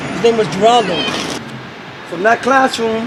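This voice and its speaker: Over noticeable background noise, a man with a New York accent speaks at a fairly quick pace and a high pitch. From New York City, Brooklyn. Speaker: pigeon keeper. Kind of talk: casual chat.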